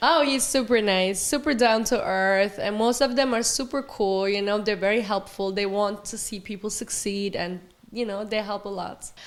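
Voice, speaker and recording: This woman's fairly high voice moves through an ordinary amount of pitch variation. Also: moderate pace, hardly any pauses. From Germany. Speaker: reality TV star and model. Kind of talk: interview.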